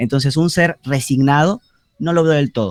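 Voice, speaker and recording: A man with a plain, everyday voice speaks at a moderate pace in a fairly high pitch, the sound dry and close with no echo. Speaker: university student. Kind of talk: class discussion.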